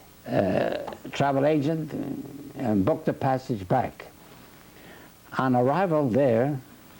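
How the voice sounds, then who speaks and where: A man speaks at a medium pitch with ordinary pitch variation and very even loudness. His pace is fairly slow, broken by long, frequent pauses, over noticeable background noise. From Sicily, Italy (province of Catania). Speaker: immigrant interviewee. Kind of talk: oral history interview. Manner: halting, with frequent fillers.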